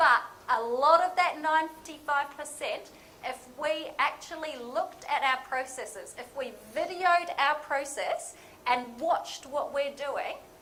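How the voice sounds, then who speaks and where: Projecting her voice, a woman with a high, bright, sharp tone speaks at a very slow pace with ordinary pitch variation in a room with audible echo. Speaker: lean management consultant. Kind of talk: conference presentation. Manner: casual, interactive.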